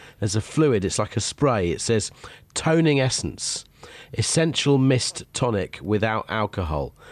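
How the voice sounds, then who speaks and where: The speaker moves at a fairly slow pace, with very wide swings in pitch. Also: man, medium pitch for a man. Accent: British. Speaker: radio host. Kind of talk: casual chat. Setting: home office.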